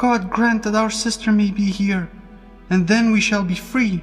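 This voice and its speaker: A man puts on a character voice at a high pitch and a moderate pace. Clear music plays in the background. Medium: read story.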